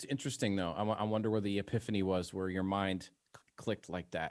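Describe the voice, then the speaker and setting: Delivered at a very fast pace with fairly even intonation, the voice carries an American accent. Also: man. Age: 40s. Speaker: radio host. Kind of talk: casual interview.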